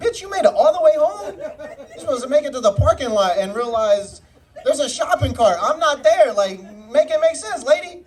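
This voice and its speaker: A man with an extremely high pitch and an animated tone, fairly quick, with very wide pitch swings, big swings in loudness and noticeable background noise. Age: 20s. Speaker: stand-up comedian. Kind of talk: stand-up. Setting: stage with audience.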